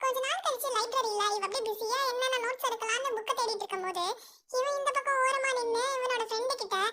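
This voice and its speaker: Speaking at a moderate pace, a woman uses an extremely high voice with fairly even intonation and very even loudness. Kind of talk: colloquial drama recap. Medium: solo performance. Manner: fast, conversational, wry.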